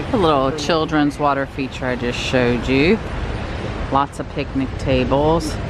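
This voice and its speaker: Very slow speech with ordinary pitch variation, noticeable background noise and a dry sound with no echo. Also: man. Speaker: travel vlogger. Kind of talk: casual vlog narration. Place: open country. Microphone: phone near.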